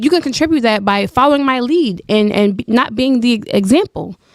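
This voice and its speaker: Talking fairly quickly, a woman uses a fairly high pitch with ordinary variation, the sound dry and close with no echo. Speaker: debate guest. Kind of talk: heated debate. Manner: fast.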